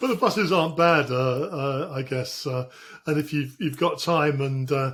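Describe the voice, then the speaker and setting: A man speaks in a southeast English accent at a fairly high pitch. His voice is somewhat breathy, at a moderate pace. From southeast England. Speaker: podcast host. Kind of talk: interview. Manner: halting, many fillers.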